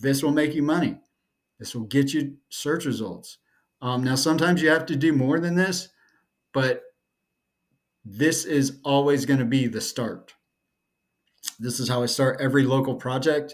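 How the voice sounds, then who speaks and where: A man with a fairly high pitch speaks at a moderate pace and fairly even intonation. He leaves long, frequent pauses. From North Carolina, US South. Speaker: SEO consultant. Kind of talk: tutorial. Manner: monotone; casual, with fillers.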